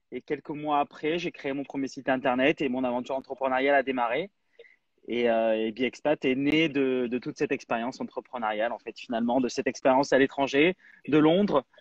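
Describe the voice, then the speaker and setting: This man has a plain, everyday voice at medium pitch, talking at a fairly quick pace with fairly even intonation. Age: 30s. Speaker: app founder, entrepreneur. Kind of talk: live interview.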